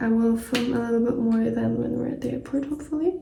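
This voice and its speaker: Audible room echo around a woman's high voice. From German-speaking country. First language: German. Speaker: travel vlogger. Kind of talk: casual vlog talk to camera. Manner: casual, many fillers.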